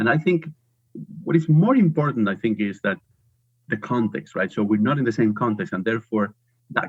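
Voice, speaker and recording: A man speaks with a Spanish accent at a medium pitch. His pitch swings very widely. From Spain. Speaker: professor. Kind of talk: interview.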